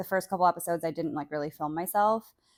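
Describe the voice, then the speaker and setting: A normal speaking voice from a woman, fairly low in pitch with ordinary pitch variation, in a dry, close sound with no echo and a very clean recording with a silent background. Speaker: solo podcaster. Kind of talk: casual solo podcast monologue. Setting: bedroom, on a bed. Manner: casual, filler-heavy.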